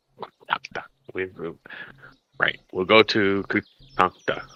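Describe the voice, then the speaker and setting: This man uses a put-on character voice, talking fairly slowly at a fairly low pitch. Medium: actual play. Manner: casual, hesitant.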